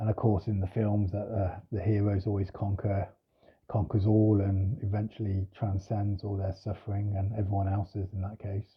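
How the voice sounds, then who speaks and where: Soft-spoken and somewhat breathy, a man talks at a moderate pace. His fairly low pitch stays monotone and flat. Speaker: spiritual teacher. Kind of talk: reflective monologue. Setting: at home. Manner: hesitant.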